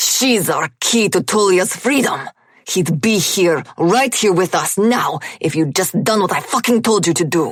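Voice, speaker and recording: A man growls in an angry tone at a moderate pace. His high-pitched voice has lively intonation. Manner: snarling, angry.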